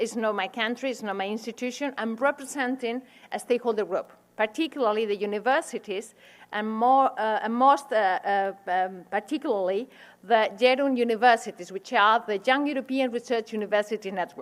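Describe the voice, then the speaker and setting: This speaker has a Spanish accent. The delivery is fairly quick. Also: woman, fairly high pitch for a woman, ordinary pitch variation. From Spain. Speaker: university administrator and researcher. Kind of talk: lecture. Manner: halting.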